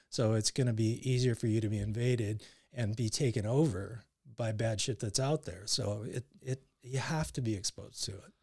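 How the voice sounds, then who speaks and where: Here a man's voice sits at medium pitch and sounds somewhat breathy. He keeps a moderate pace with ordinary pitch variation. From Canada, Surrey near Vancouver. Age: 50s. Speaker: coworker guest. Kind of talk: casual chat.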